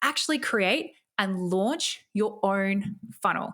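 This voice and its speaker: Speaking in an Australian accent, a woman has a medium-pitched voice and lively intonation. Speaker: podcast host and online marketing coach. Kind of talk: podcast monologue with sales pitch. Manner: enthusiastic, casual.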